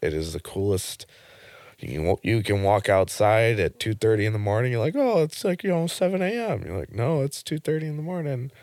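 Very wide pitch swings come through at a very fast pace on a very clean recording with a silent background. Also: man. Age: 20s. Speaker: operations manager and truck driver. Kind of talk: casual chat. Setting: studio.

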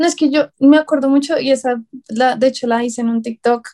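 A woman speaks in a Bogotá accent at a high pitch. Her tone is dark and mellow, and her pace is moderate. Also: dry, close sound with no echo. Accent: Bogotá Colombian Spanish. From Bogotá, Colombia. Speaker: psychology student, writer and call center agent. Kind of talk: casual chat.

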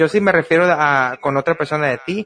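Pitch variation here is ordinary. The voice is an unremarkable speaking voice. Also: man. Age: 30s. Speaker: podcast host. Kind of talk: casual chat.

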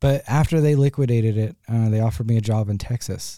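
A man with a normal speaking voice, medium pitch and ordinary pitch variation, at a fairly quick pace in a dry, close sound with no echo. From US Midwest (Ohio). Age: 30s. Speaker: muralist. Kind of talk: casual interview. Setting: studio.

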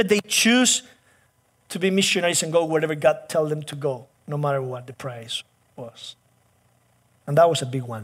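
With a Spanish accent, a man speaks at a moderate pace and a fairly high pitch, using lively intonation, big swings in loudness, and long, frequent pauses. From Chile. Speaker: pastor. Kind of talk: sermon.

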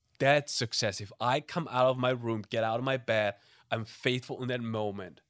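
In a very clean recording with a silent background, a man with a German accent talks at a moderate pace and medium pitch with fairly even intonation. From Germany. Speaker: missions pastor. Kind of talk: casual chat. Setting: studio.

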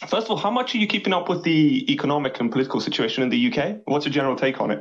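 A man with an English accent races along at a very fast pace, his fairly high voice making very wide pitch swings. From England. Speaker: caller. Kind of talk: phone-in call.

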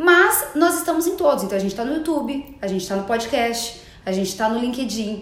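In a room with audible echo, a woman with a high voice talks at a fairly quick pace, her pitch swinging very widely. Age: 30s. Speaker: entrepreneur and digital communicator. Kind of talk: interview.

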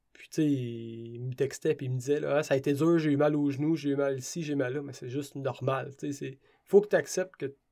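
In a Quebec accent, a man with a dark, mellow tone and fairly high pitch speaks at a fairly quick pace with fairly even intonation and big swings in loudness, on a very clean recording with a silent background. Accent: Québécois French. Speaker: ultra-trail runner. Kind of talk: interview.

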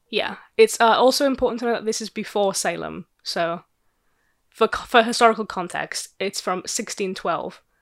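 A woman's fairly high voice with vocal fry at a moderate pace, on a very clean recording with a silent background. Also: ordinary pitch variation, dry, close sound with no echo. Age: 20s. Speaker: podcast co-host. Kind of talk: casual chat.

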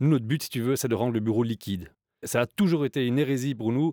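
A man talks at a very fast pace in a dark, mellow tone. The recording is very clean with a silent background. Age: 40s. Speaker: coworking company co-founder. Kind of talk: interview.

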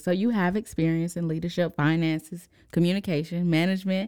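A woman with an ordinary speaking voice talks fairly quickly in an American accent. Her pitch is fairly low and her intonation fairly even. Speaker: podcast host. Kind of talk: casual interview.

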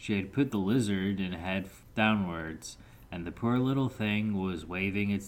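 Reading aloud in a natural voice, the speaker lets the pitch vary in an ordinary way.

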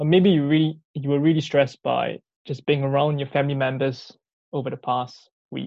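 A man talks at a fairly quick pace and fairly high pitch in an unremarkable speaking voice with fairly even intonation. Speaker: lunchtime Bible talk preacher. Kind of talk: sermon. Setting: video call.

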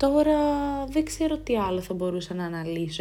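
Her pitch shows ordinary variation. The woman's tone is dark and mellow. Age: 20s. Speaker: student podcaster. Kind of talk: personal monologue podcast. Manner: talkative.

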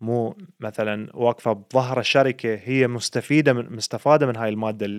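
With an Iraqi accent and a medium pitch, a man speaks at a moderate pace with fairly even intonation. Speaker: podcast host. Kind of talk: casual chat.

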